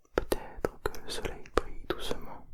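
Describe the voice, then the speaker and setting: Noticeable background noise fills the recording. Through it, a woman whispers very slowly. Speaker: ASMR creator. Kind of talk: guided meditation ASMR visualisation. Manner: whispered, soft, slow.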